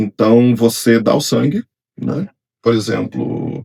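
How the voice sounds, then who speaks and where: The sound here is dry and close, with no echo. A man speaks at a medium pitch. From Brazil, Rio de Janeiro. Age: 40s. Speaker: engineer. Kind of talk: podcast interview. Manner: casual, conversational.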